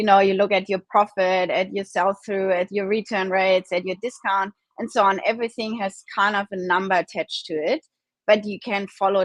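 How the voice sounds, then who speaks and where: In a German accent, a woman speaks with fairly even intonation, the sound dry and close with no echo. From Germany. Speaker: e-commerce founder. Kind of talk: interview. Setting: live video stream.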